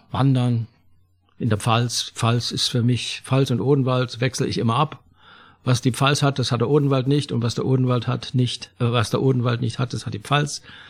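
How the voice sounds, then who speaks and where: A man's somewhat breathy, medium-pitched voice in a monotone, flat intonation at a moderate pace, on a very clean recording with a silent background. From Saxony, near Zwickau. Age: 70s. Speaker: retired theatre extra. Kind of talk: casual interview.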